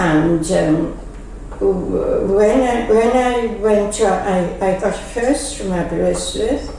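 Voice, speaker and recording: Through noticeable background noise, a woman speaks at a very slow pace with a medium pitch. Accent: Welsh. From Wales. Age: 80s+. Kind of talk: interview answer. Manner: hesitant.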